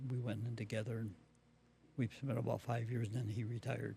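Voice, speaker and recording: A man speaks fairly quickly in a monotone, flat delivery. His tone is dark and mellow, and somewhat breathy. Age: 90s. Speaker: builder, retired maintenance worker. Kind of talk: interview answer. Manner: hesitant, brief answers.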